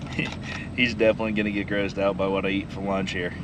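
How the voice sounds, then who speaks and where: Through audible room echo and noticeable background noise, a man with an American accent speaks at a fairly low pitch. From southern Iowa. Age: young. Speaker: farmer vlogger. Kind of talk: casual vlog narration.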